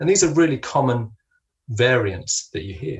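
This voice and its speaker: Somewhat breathy, a man speaks at a medium pitch. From London, England. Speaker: linguistics lecturer. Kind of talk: lecture.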